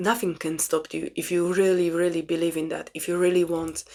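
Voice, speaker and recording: Speaking at a moderate pace with a medium pitch, a woman talks with a Polish accent. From Poland. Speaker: spiritual self-help vlogger. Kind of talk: casual monologue. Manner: halting.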